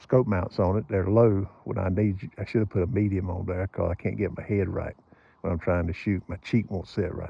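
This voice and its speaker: It is a normal speaking voice, a man with a fairly low pitch who talks at a moderate pace with fairly even intonation. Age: 60s. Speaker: gun and scope reviewer. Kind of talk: casual vlog talk.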